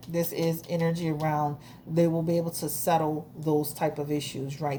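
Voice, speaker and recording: A woman's very deep, low voice, dark and mellow, somewhat breathy, with monotone, flat intonation. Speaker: tarot reader. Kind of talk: tarot reading monologue. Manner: halting, self-correcting; casual, conversational.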